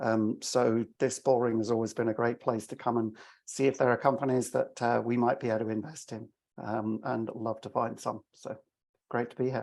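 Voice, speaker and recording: A man with an English accent speaks at a medium pitch and a moderate pace. His intonation is monotone and flat. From England, London. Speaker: venture investor. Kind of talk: panel introduction.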